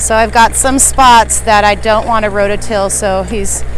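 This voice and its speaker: A woman at a fairly slow pace, with light background noise and a dry sound with no echo. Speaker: gardener vlogger. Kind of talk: casual vlog chat. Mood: excited, cheerful. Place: farm machine. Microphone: phone near.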